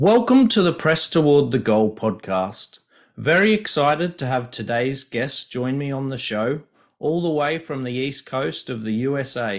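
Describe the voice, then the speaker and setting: Someone with an Australian accent speaks at a moderate pace with lively intonation on a very clean recording with a silent background. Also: man, fairly high pitch for a man. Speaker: podcast host. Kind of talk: interview.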